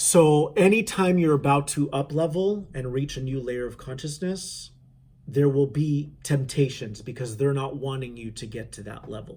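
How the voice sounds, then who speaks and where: A man talks at a moderate pace with a fairly high pitch, ordinary pitch variation and a dark, mellow tone. His voice is somewhat breathy and swings greatly in loudness. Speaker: spiritual channeler. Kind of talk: spiritual talk to viewers. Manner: casual, halting with fillers.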